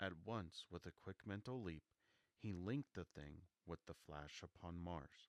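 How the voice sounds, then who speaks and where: A soft-spoken man talks with a very deep, low pitch and ordinary pitch variation. The sound is dry and close, with no echo. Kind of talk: audiobook reading of classic novel.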